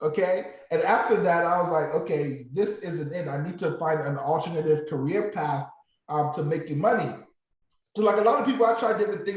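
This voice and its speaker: A man with a high pitch and a slight Nigerian accent talks at a fairly quick pace. His pitch variation is ordinary, and the room echo is audible. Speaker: former nurse turned options trader. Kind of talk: motivational talk to online group.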